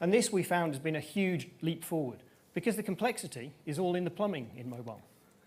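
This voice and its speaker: Audible room echo fills the recording. A man speaks very fast. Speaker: tech company presenter. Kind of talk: conference presentation. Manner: animated.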